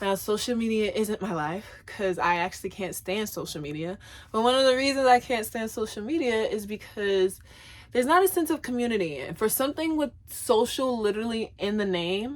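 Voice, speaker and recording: With an American accent, a woman speaks at a fairly quick pace and a fairly high pitch. Her intonation is lively, and the recording is very clean with a silent background. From US South. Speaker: vlogger. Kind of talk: casual chat. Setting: at home. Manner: loud; talkative, chatty.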